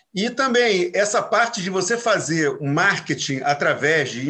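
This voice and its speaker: A man's raised, projected voice, bright and sharp in tone, with very wide pitch swings at a fairly slow pace. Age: 60s. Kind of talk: casual chat.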